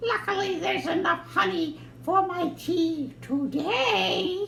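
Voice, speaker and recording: A high-pitched cartoonish character voice talks at a fairly slow pace over clear background noise. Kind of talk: children's puppet show.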